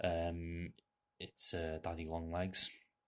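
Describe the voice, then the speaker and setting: A man speaks with a North Welsh accent at a very deep, low pitch. The recording is very clean, with a silent background. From North Wales. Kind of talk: casual talk to camera.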